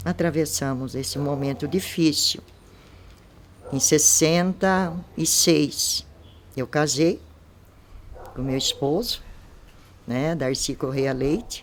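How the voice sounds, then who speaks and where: Speaking at a very slow pace with long, frequent pauses, a woman uses a very deep, low pitch with ordinary pitch variation. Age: 70s. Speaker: local resident giving testimony. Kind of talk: oral history interview.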